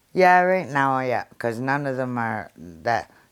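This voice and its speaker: A woman's very deep, low voice with lively intonation, on a very clean recording with a silent background. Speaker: grandmother. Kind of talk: interview answer.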